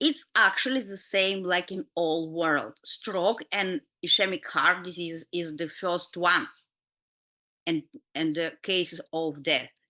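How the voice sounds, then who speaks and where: A woman with a Russian accent speaks at a very slow pace in a bright, sharp tone. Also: fairly low pitch for a woman, ordinary pitch variation. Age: 50s. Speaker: doctor and health educator. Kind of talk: lecture. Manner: halting.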